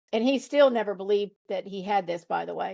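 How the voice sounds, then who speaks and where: Over a quiet background, a woman speaks in an American accent. Her pitch is fairly high and her pace moderate. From US South, rural Virginia. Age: 60s. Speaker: grieving widow sharing spiritual story. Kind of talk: podcast interview. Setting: video call.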